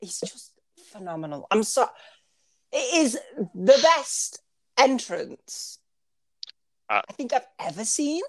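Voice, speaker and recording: A woman with an American accent speaks at a fairly slow pace and fairly high pitch, with vocal fry and long, frequent pauses. Her loudness swings widely, and the sound is dry and close with no echo. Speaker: wrestling podcast co-host.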